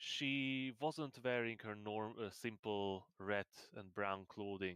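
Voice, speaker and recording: A man speaks at a fairly low pitch with ordinary pitch variation. His pace is very slow. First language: not English. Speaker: game master. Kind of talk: tabletop roleplay narration. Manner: halting.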